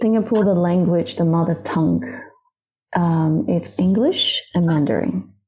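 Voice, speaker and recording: Fairly slow and somewhat breathy, a woman speaks with a dark, mellow tone at a fairly low pitch, with lively intonation and very even loudness. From Hong Kong. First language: Cantonese. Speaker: yoga teacher. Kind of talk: casual interview chat.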